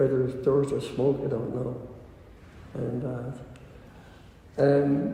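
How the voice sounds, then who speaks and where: A man with a Dublin accent talks at a fairly slow pace, leaving long, frequent pauses. His medium pitch stays in a monotone, flat intonation, with audible room echo around him. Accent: Dublin Irish. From Ireland, Dublin. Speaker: interviewee. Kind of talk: oral history interview. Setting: recorded interview. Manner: halting.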